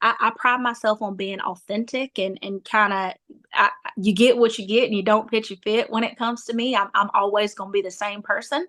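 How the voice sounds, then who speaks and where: Speaking at a fairly quick pace, a woman uses a bright, sharp tone and a fairly high pitch. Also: very clean recording, silent background. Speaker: nonprofit founder. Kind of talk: interview. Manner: animated.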